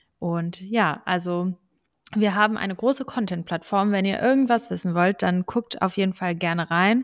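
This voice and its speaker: A woman with an unremarkable speaking voice talks at medium pitch and a moderate pace with ordinary pitch variation, recorded very cleanly against a silent background with a dry, close sound and no echo. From Lower Saxony, Germany (Braunschweig). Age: 20s. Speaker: law student and podcast co-host. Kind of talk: casual chat.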